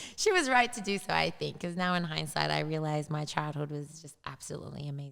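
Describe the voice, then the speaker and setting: A woman speaks with an Australian accent. Her loudness swings widely. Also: fairly quick pace, hardly any pauses. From Australia, Sydney. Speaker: fitness coach. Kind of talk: interview conversation.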